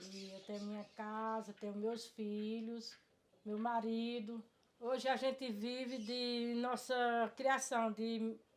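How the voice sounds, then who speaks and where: A woman speaks at a very slow pace in a fairly high pitch with monotone, flat intonation. Her loudness swings widely. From Brazil, rural Ceará backlands (Cariri). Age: 60s. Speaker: farmer. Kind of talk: testimony. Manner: halting, repeated words.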